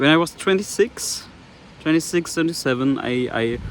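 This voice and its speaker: The speaker has a German accent and keeps a moderate pace with ordinary pitch variation. Noticeable background noise runs underneath. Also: man. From Germany. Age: 20s. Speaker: vlogger. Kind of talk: personal vlog monologue. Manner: halting.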